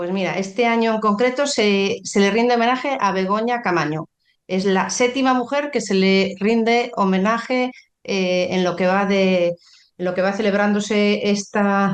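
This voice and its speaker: Against a quiet background, a woman with a slight Galician accent speaks at a fairly slow pace. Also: medium pitch for a woman, ordinary pitch variation. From Galicia, Spain. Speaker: pharmacist. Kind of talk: podcast interview. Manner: halting, many fillers.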